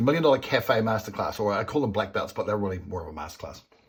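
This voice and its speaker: A man talks at a very fast pace. His tone is animated. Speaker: business coach. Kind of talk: whiteboard tutorial.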